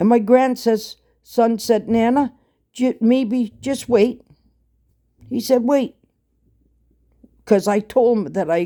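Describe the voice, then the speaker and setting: Speaking at a very slow pace, a woman has a dark, mellow tone, a fairly high pitch and ordinary pitch variation. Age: 70s. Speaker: online talker. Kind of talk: casual monologue. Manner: halting.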